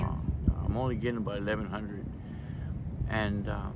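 Over loud background noise, a man with an American accent talks at a fairly quick pace in a dry sound with no echo. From East Los Angeles. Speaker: homeless former cook and building maintenance technician. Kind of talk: interview answer. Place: beach. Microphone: phone near.

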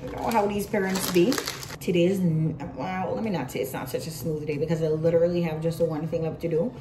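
Noticeable background noise sits behind a woman talking at a very fast pace in a fairly low voice. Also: ordinary pitch variation. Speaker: vlogger. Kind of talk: casual vlog chat. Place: office. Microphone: phone near.

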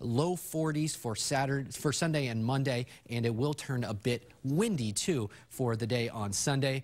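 A man talks in an upbeat tone with ordinary pitch variation. The background is quiet. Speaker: TV meteorologist. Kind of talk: local TV weather forecast, walking viewers through maps. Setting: TV studio. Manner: upbeat, friendly and conversational, with frequent filler 'uh's; brisk ad-lib delivery, occasionally self-correcting mid-sentence. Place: studio. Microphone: lapel.

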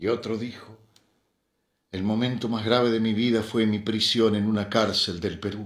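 A man speaks in a solemn, intense tone at a fairly low pitch. His intonation stays monotone and flat. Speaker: poetry reader. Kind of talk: poem reading. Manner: solemn, slow, measured; heavy with emotion, intense.

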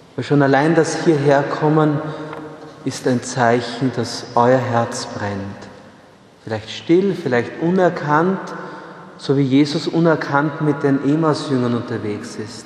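A man at a very slow pace with long, frequent pauses, ordinary pitch variation and audible room echo. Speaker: priest preaching. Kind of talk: sermon. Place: church.

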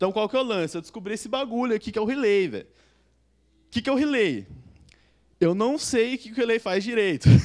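Over a quiet background, a man with a high pitch and ordinary pitch variation speaks at a very fast pace, with long, frequent pauses and big swings in loudness. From Brazil, Sorocaba (São Paulo state); São Paulo state, Brazil. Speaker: software developer; conference speaker. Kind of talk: conference talk. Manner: casual slangy. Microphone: handheld.

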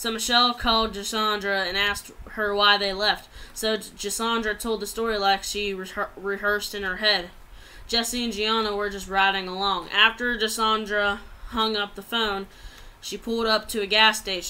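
Her tone bright and sharp, a woman speaks at a moderate pace with a monotone, flat intonation. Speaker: amateur storyteller. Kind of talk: reading a story aloud. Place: home room. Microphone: webcam.

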